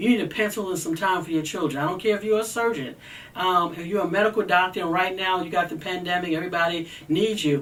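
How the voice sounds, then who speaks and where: Noticeable background noise accompanies speech delivered at a very fast pace. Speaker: mental health advocate. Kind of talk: talk on mental health. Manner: animated.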